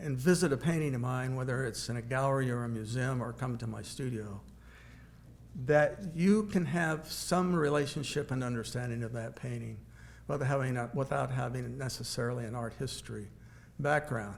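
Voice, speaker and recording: A somewhat breathy man with an American accent, speaking at a moderate pace amid audible room echo. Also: medium pitch for a man, ordinary pitch variation. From Kansas (Wichita). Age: 70s. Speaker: painter. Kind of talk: lecture. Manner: halting.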